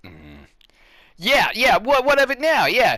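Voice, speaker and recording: A man projects his voice at an extremely high pitch with a bright, sharp tone. He speaks at a fairly slow pace. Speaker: video game streamer. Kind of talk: let's play commentary. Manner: animated.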